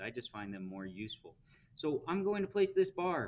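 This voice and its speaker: Pitch swings very widely as a man talks. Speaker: teacher. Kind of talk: tutorial. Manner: fast.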